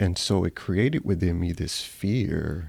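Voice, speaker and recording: In a very clean recording with a silent background, the speaker talks at a fairly slow pace with an American accent. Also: man. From Ghana, then Southwest Atlanta, US. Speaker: hospital chaplain and musician. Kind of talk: casual interview conversation. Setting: chaplain's office.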